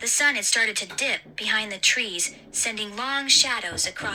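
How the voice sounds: With ordinary pitch variation, the voice is a natural reading voice.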